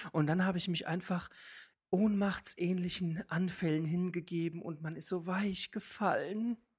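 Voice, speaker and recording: A woman speaks at a fairly slow pace. Her voice is fairly low and somewhat breathy. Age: 20s. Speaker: drag queen. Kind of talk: casual chat.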